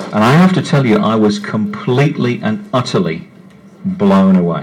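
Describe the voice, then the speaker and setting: A man talks at a fairly slow pace, his pitch swinging very widely. Room echo is audible, and background noise is noticeable. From West Midlands, England. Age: 50s. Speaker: science writer. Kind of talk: public talk. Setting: pub with live audience. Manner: animated.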